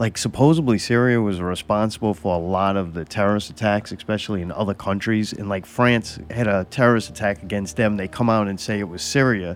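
This man's pitch is fairly low, with ordinary variation. He talks at a fairly quick pace with hardly any pauses. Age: 50s. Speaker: podcast host. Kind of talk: casual chat. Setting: studio. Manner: animated. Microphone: mic close to face.

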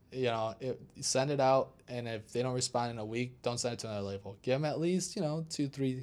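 At a fairly quick pace, a man talks in an unremarkable speaking voice at medium pitch with ordinary pitch variation. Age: 20s. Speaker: DJ and house music producer. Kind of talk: casual interview chat.

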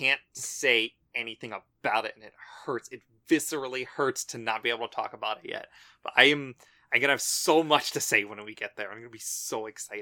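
A raspy, put-on character voice moves at a fairly quick pace, with a dry, close sound and no echo. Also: man, medium pitch for a man. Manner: excited, energetic, fast-paced.

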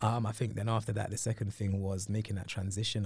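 A man with a London accent and a fairly low pitch, very fast and somewhat breathy, in a very clean recording with a silent background. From northwest London. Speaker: TV presenter. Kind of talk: interview. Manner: animated.

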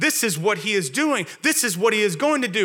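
With lively intonation, a man talks at a moderate pace in a raised, projected voice. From Louisiana. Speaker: pastor. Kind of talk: sermon. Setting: church.

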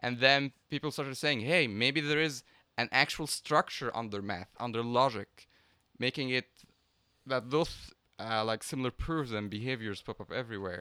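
In a very clean recording with a silent background, a man with an Arabic accent speaks at medium pitch and a moderate pace. His tone is bright and sharp, with ordinary pitch variation. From Egypt. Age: 20s. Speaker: math PhD student. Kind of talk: casual chat.

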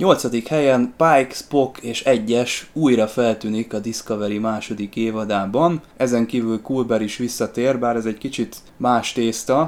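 Speaking at a fairly slow pace with hardly any pauses, a man uses an unremarkable speaking voice at medium pitch with fairly even intonation. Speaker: podcast host, sci-fi fan. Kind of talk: casual chat. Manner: formal, scripted-sounding.

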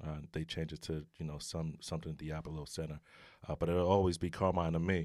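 Fairly quick speech in a New York accent on a very clean recording with a silent background. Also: man. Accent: New York City. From New York City (Brooklyn). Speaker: retired basketball player, aspiring referee. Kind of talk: casual interview.

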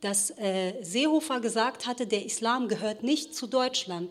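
A woman with an unremarkable speaking voice, fairly high in pitch with ordinary pitch variation, at a fairly slow pace. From Ruhr area, Germany (since age 10). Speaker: novelist. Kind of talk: panel discussion. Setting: stage with audience.

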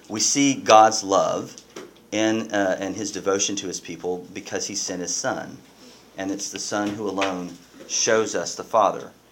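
Amid audible room echo and noticeable background noise, a man speaks at a fairly slow pace in a fairly low pitch. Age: 40s. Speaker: pastor. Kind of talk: sermon.

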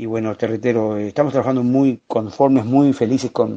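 A man's dark, mellow tone comes through with fairly even intonation. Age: 50s. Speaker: journalist and TV channel director. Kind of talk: interview.

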